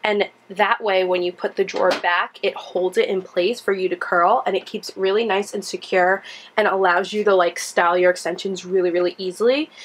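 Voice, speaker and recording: Over noticeable background noise, a woman talks at a moderate pace and medium pitch, with fairly even intonation and hardly any pauses. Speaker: beauty vlogger. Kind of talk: tutorial. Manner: casual, chatty.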